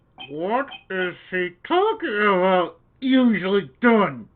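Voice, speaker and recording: Putting on a character voice, a man speaks very slowly at a high pitch with lively intonation. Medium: fan dub. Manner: doubtful, muttering.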